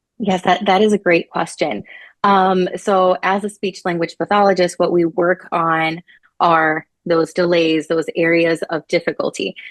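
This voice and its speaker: At a fairly slow pace and with fairly even intonation, the speech sounds dry and close with no echo over a quiet background. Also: woman, fairly low pitch for a woman. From Tennessee, US, Puerto Rican family, later Puerto Rico. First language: Spanish. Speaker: speech language pathologist. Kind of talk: interview. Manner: frequent fillers (um).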